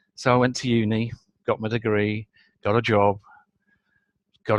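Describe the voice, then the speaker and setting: A northern English accent in a very clean recording, silent in the background, dry and close with no echo. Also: man. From northern England. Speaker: business consultant. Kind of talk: interview.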